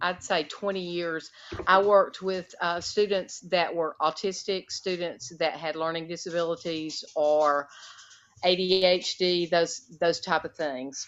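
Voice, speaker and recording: A woman with a Southern US accent speaks very slowly in a fairly low, monotone voice with flat intonation. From US South (Alabama). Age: 50s. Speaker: retired special education teacher. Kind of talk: interview conversation.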